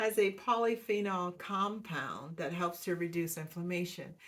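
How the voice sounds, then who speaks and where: Over a silent background on a very clean recording, a woman speaks at a moderate pace with a medium pitch and ordinary pitch variation. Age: 60s. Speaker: wellness vlogger. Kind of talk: casual talk to camera. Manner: hesitant with many fillers.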